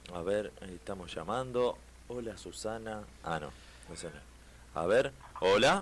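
A fairly low-pitched man with a Rioplatense accent and vocal fry, very slow, with lively intonation and long, frequent pauses. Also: big swings in loudness. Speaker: radio host. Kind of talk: casual chat. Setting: studio.

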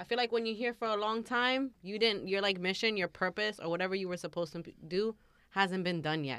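Fairly quick delivery in a normal speaking voice, with ordinary pitch variation. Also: woman, medium pitch for a woman. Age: 30s. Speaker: podcast host. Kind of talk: casual chat.

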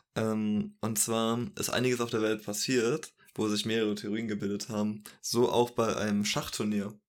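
A man at a medium pitch in a flat monotone, at a moderate pace with hardly any pauses. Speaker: podcast co-host and editor. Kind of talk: casual chat. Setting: home recording in his own room at the PC.

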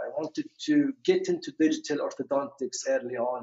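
A man speaks with a Kuwaiti accent. His pace is fairly slow. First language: Arabic. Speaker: orthodontist. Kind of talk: interview conversation. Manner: hesitant, many fillers.

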